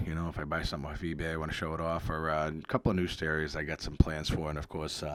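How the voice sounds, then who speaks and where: A very deep, low-pitched male voice in an American accent. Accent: Boston-area accent, remarked on by a viewer. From Massachusetts, near Boston. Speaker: retro video game YouTuber. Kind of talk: casual video commentary. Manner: halting, many fillers. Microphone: new microphone.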